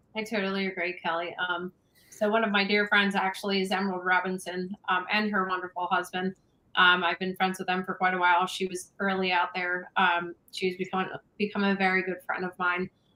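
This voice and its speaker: At a fairly quick pace, a woman with an American accent talks in a medium pitch. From Delaware County, Pennsylvania. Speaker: activist. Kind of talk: casual chat. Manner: animated.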